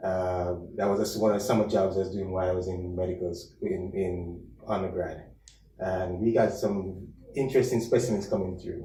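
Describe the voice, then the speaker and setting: In a Jamaican accent, a man with a very deep, low pitch and a dark, mellow, somewhat breathy tone talks at a moderate pace in a flat monotone, with audible room echo around him. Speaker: chief medical officer, physician. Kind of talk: casual interview. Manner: halting, many fillers.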